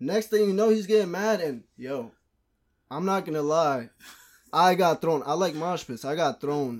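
Here a man speaks at a moderate pace, his high pitch moving with lively intonation. The recording is very clean and the background silent. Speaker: podcast guest. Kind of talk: casual chat.

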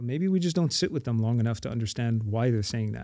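This man has a fairly low pitch and a dark, mellow tone. He speaks with a Montreal accent. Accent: Canadian English (Montreal). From Montreal, Quebec, Canada. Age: 40s. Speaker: imam and prison chaplain. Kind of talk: casual chat.

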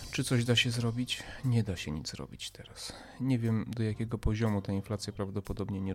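Speaking at a moderate pace, the man's pitch rises and falls in an ordinary way. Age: 40s. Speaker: podcast host, commentator. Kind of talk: monologue commentary. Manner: emphatic, hesitant with fillers.

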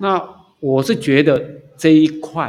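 A man with a fairly high pitch speaks in a normal speaking voice. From Taiwan, Taipei. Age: 60s. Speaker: retired civil servant, amateur trumpeter. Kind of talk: casual interview. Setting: outdoors.

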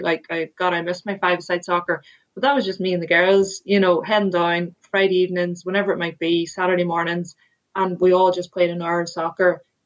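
With an Irish accent, a woman talks at a fairly quick pace and medium pitch in a monotone, flat intonation. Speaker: sports administrator and former rugby player. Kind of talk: interview.

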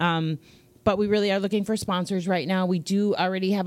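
A woman talks with fairly even intonation. The sound is dry and close with no echo, on a very clean recording with a silent background. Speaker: podcast host and dog training program founder. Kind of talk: casual chat. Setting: studio.

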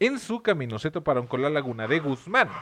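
Against a quiet background, the speaker uses very wide pitch swings in a Mexican accent. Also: man. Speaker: podcast host telling history stories. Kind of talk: casual chat with storytelling. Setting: different recording set.

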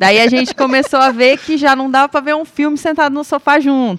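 A high-pitched woman's voice at a fairly quick pace, in a dry, close sound with no echo. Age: 30s. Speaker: industrial manager. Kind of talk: testimony.

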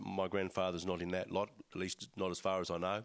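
A man talks at a moderate pace with an Australian accent. The background is quiet. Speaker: church speaker. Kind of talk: talk to congregation. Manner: hesitant, many fillers.

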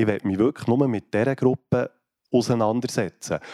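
The voice has a dark, mellow tone and fairly even intonation at a moderate pace. The recording is very clean with a silent background and a dry, close sound with no echo. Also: man. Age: 40s. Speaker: care home director, former chef. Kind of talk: panel discussion.

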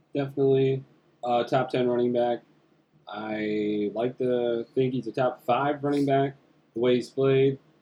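At a fairly slow pace, a man speaks in a medium pitch with monotone, flat intonation. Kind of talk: casual banter, sports talk. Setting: sharing a mic in studio.

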